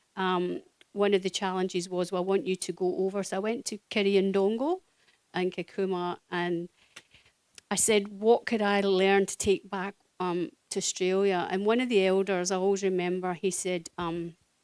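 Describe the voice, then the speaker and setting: Speaking with a Scottish accent at a moderate pace, a woman holds a medium pitch and monotone, flat intonation in a dry, close sound with no echo. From Scotland. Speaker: social worker. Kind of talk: speech at community event. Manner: hesitant, many fillers.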